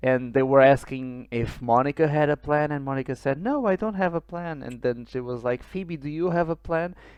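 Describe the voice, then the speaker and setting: Speaking with a Portuguese accent at a fairly high pitch, a man keeps a moderate pace with hardly any pauses and ordinary pitch variation. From Portugal. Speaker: podcast co-host. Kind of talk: casual chat. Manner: hesitant with fillers.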